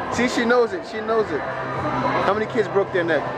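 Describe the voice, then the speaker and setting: Loud background noise dominates the clip. A man's voice sounds through it. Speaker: travel vlogger. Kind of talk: casual vlog chat. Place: hall. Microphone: phone near.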